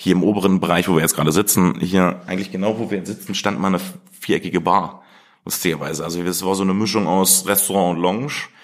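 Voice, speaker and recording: Talking at a very fast pace, this man has a very deep, low pitch. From Germany, Harz region (Blankenburg, Saxony-Anhalt). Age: 30s. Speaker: chef. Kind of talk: interview. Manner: animated.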